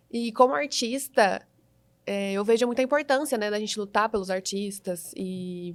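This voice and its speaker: A plain, everyday voice from a woman, medium in pitch, with ordinary pitch variation at a moderate pace. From Brazil, Franca (São Paulo state). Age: 20s. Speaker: psychologist and city council candidate. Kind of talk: interview.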